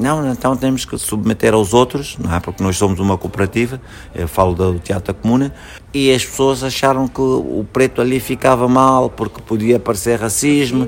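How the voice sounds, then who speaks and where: Amid noticeable background noise, a man speaks at a medium pitch with ordinary pitch variation. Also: moderate pace. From Angola, Luanda. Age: 40s. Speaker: actor and theatre director. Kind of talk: interview.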